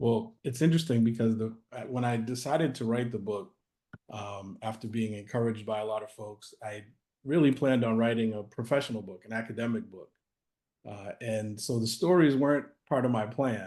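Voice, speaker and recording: A dark, mellow tone at a fairly quick pace, with big swings in loudness and ordinary pitch variation. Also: man, medium pitch for a man. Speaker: author and anti-racism practitioner. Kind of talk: interview. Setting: video call.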